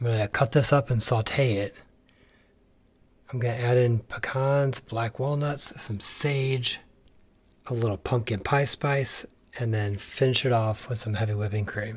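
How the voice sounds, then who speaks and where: A soft-spoken man talks at a fairly slow pace and medium pitch, somewhat breathy, with fairly even intonation. Long, frequent pauses break up his speech on a very clean recording with a silent background. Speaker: home cook and family caregiver vlogger. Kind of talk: casual cooking tutorial. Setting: home kitchen at night. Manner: quiet, soft-spoken; hesitant with fillers.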